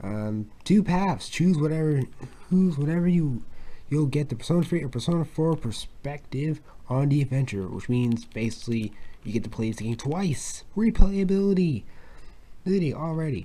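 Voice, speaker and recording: A man with a fairly high, somewhat breathy voice and a dark, mellow tone speaks at a moderate pace with lively intonation. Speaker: video game unboxing youtuber. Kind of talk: unboxing video. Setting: home at night. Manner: soft-spoken; halting, many repetitions.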